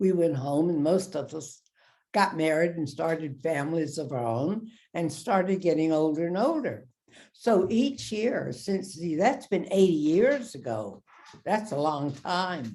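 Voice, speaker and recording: In an American accent, a woman with a fairly low pitch and a dark, mellow tone speaks at a fairly slow pace with very wide pitch swings, and audible room echo surrounds her. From US South. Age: 80s+. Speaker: war veteran. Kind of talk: interview.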